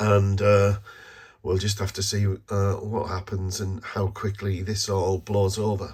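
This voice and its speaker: A man speaks with a British accent. His voice is fairly low in pitch and somewhat breathy. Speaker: vlogger, online toy reseller. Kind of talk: vlog monologue. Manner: hesitant, many fillers.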